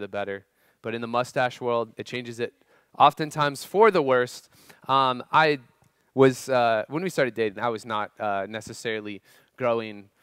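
A man speaks at a moderate pace with ordinary pitch variation and big swings in loudness, in a dry sound with no echo and a quiet background. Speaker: youth pastor. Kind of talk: sermon. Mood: humorous personal story. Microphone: headset.

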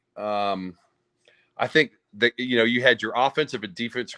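Set against a quiet background, a man with an American accent talks with ordinary pitch variation. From US South. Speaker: former college football player; guest. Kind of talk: casual chat. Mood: animated, smiling storytelling. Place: home room. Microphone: video call.

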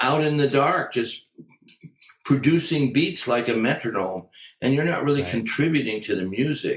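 A man with an American accent at a fairly high pitch and a moderate pace, with ordinary pitch variation, audible room echo and a quiet background. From US, Western Massachusetts then California; California. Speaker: jazz drummer and drum educator; drum educator. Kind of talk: interview. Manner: casual. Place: home room. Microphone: webcam.

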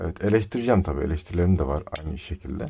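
A man's very deep, low voice, dark and mellow in tone and somewhat breathy, with ordinary pitch variation on a very clean recording with a silent background. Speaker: tech reviewer / YouTuber. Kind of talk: product unboxing review. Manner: casual, joking.

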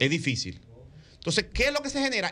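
Bright and sharp in tone, a man talks at a very fast pace. His pitch swings very widely. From Dominican Republic. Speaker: radio panelist. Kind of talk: political commentary on radio. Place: studio. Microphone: studio mic.

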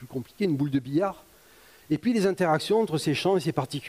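A man speaks with a dark, mellow tone. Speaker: lecturer. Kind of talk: public science lecture. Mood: enthusiastic, playful. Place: hall.

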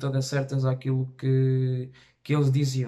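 Against a quiet background, a man speaks at a fairly slow pace and medium pitch in a dark, mellow tone with monotone, flat intonation. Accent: European Portuguese. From Portugal, Tarouca. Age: young. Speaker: reaction youtuber. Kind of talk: casual talk to camera. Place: home room.

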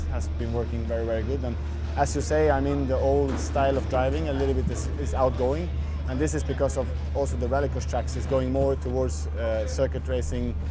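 Over clear background music, a man speaks fairly quickly in a very deep, low voice with monotone, flat intonation. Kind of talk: interview answer. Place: tent.

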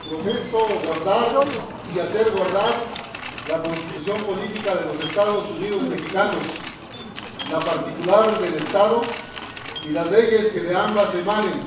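A man talks at a fairly slow pace, leaving long, frequent pauses. Audible room echo and noticeable background noise surround his voice. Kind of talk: formal oath and speech. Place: hall.

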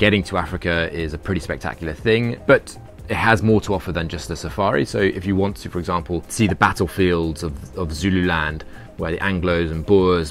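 Faint music plays in the background as a man talks at a fairly quick pace. His pitch is very deep and low, with ordinary pitch variation. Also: dry sound with no echo. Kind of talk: tutorial. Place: garden.

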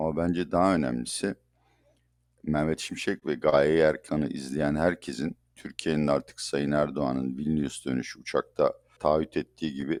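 A man speaks with a very deep, low pitch and fairly even intonation. The sound is dry and close, with no echo. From Turkey. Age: 60s. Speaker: economist. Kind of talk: interview.

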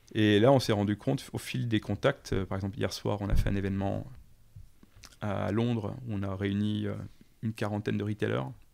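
At a moderate pace, a man speaks with long, frequent pauses. His pitch is fairly low, with ordinary pitch variation. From eastern France, countryside. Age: 40s. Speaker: startup founder and CEO. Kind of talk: interview.

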